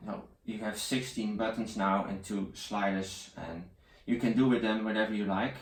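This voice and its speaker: Speaking at a moderate pace in a Dutch accent, a man keeps his intonation fairly even while audible room echo fills the recording. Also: fairly low pitch for a man. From Netherlands. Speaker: tech reviewer. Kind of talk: product review. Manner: halting.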